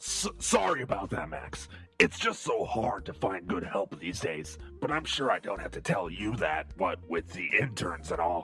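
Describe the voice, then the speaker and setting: Doing a put-on character voice, a man growls at a very deep, low pitch with a raspy sound at a moderate pace while clear music plays behind him. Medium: audio drama. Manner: crude, profane, casually menacing.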